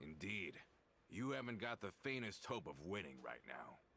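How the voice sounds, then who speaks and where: Putting on a character voice, a man speaks in a raspy tone at a fairly low pitch. His pitch swings very widely at a moderate pace. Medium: video game. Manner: mild, slightly hesitant.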